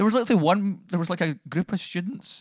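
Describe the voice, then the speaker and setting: Fairly quick speech in a Scottish accent, dry and close with no echo, on a very clean recording with a silent background. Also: man. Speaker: podcast co-host. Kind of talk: casual chat. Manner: energetic.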